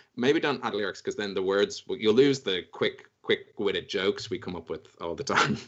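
A man with an Irish accent and hardly any pauses. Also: moderate pace. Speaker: dungeon master. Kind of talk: tabletop roleplay narration; casual chat. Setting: live stream.

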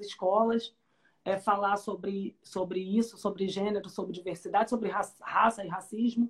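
A somewhat breathy woman's voice at medium pitch, moderate pace and fairly even intonation. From Rio de Janeiro, Brazil. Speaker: public defender, interviewer. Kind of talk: interview conversation. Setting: video call.

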